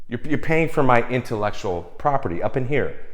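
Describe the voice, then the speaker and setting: An animated male voice with very wide pitch swings and vocal fry. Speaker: film composer giving advice. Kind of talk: casual vlog advice rant.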